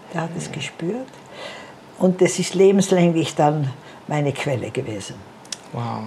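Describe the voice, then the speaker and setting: A woman with a fairly low pitch speaks at a moderate pace with lively intonation over noticeable background noise. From Austria, Tyrol. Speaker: missionary. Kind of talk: interview testimony.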